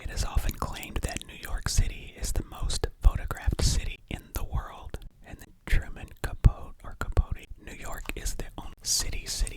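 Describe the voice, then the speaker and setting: Whispering at a moderate pace with hardly any pauses, the speaker is heard over noticeable background noise. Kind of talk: casual ASMR build-along talking to camera, reading fun facts. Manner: whispered, soft-spoken.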